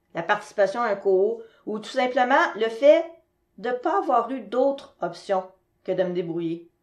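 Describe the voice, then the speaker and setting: A woman speaks in an unremarkable speaking voice, fairly high in pitch, at a fairly slow pace. Her intonation is lively, and the background is quiet. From Quebec. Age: 40s. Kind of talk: presentation.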